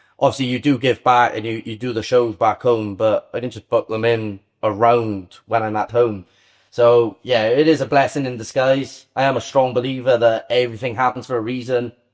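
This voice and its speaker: A man with a Welsh accent speaks at medium pitch and a moderate pace, his intonation monotone and flat. The background is quiet. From Wales. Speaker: Muay Thai fighter and online psychic medium. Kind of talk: podcast interview.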